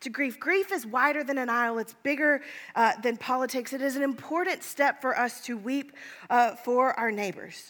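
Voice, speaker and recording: A woman speaks at a moderate pace in a high voice with an American accent and ordinary pitch variation. The recording is very clean, with a silent background. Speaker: pastor. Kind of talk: sermon; fervent prayer. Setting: church. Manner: hushed, earnest.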